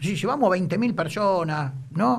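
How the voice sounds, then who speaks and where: Amid audible room echo, a man speaks with very wide pitch swings. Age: 50s. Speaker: football club official and lawyer. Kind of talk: casual interview.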